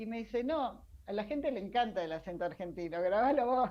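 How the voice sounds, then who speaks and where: A woman uses an ordinary speaking voice with lively intonation at a moderate pace. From Argentina, Mar del Plata. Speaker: science journalist. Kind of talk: interview. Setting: video call.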